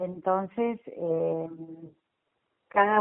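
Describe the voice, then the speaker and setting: A woman speaks at a very slow pace. Her medium-pitched voice shows ordinary pitch variation. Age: 60s. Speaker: lay church volunteer. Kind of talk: interview. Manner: halting.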